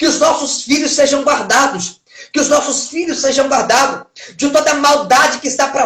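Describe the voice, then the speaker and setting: A man with an extremely high-pitched voice. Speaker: pastor. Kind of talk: livestream sermon. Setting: social media live stream. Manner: fast; urgent, repetitive preaching.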